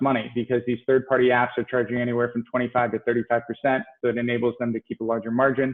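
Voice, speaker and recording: Talking at a very fast pace, a man uses a medium pitch and fairly even intonation. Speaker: downtown business development official. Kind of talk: panel presentation.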